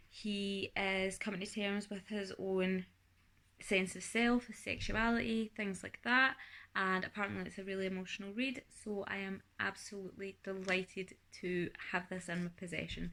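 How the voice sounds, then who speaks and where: A woman's bright, sharp voice at medium pitch, with a Scottish accent, fairly even intonation and a moderate pace, on a very clean recording with a silent background. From Scotland. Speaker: booktuber. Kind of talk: casual vlog book review. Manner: chatty, with fillers.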